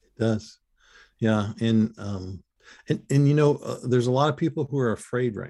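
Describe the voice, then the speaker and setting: Over a quiet background, a man's dark, mellow voice moves at a moderate pace and medium pitch, with ordinary pitch variation and big swings in loudness. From US Midwest (Ypsilanti, Michigan). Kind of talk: interview. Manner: halting, many fillers.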